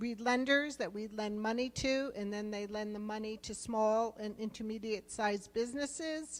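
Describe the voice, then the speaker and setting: The speaker talks at a moderate pace with a New Jersey accent and fairly even intonation. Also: woman. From New Jersey, US East Coast. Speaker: rural development program official. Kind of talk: conference presentation.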